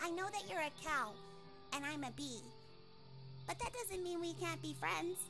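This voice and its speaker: A woman's cartoonish character voice at a moderate pace over loud music in the background. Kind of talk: animation character performance.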